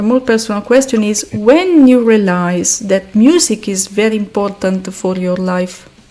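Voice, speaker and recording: A woman in an Italian accent, with hardly any pauses, over noticeable background noise. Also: medium pitch for a woman, ordinary pitch variation, moderate pace. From Italy. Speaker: podcast host. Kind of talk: podcast interview.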